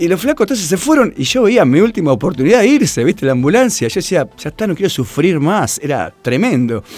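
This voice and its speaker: Talking at a very fast pace with very wide pitch swings, the speaker barely pauses at all. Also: man, high pitch for a man. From Argentina, Buenos Aires area (Tigre). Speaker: running coach. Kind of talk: interview.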